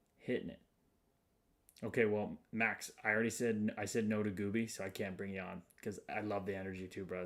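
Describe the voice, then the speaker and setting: A man with an American accent, fairly low-pitched, at a very fast pace, on a very clean recording with a silent background. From Chicago, US Midwest. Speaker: livestream host. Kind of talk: casual livestream chat. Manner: animated.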